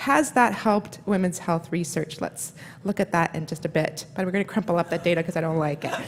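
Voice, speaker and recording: Noticeable background noise accompanies a woman who speaks at a fairly quick pace in a fairly low pitch with ordinary pitch variation. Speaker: neuroscience professor. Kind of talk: conference lecture. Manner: fast.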